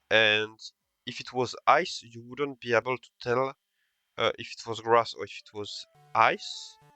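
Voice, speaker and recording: A man at a fairly slow pace, with big swings in loudness and music in the background. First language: not English. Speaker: video game analyst, content creator. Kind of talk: gameplay analysis commentary. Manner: halting, many fillers.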